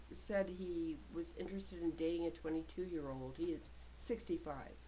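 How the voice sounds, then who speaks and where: There is noticeable background noise behind this recording. A woman talks at a moderate pace. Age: 60s. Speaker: vlogger. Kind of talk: personal monologue. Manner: halting.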